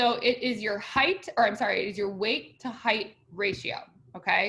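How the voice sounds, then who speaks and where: A woman's fairly high voice has a bright, sharp tone and ordinary pitch variation. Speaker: college instructor. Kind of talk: lecture. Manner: fast.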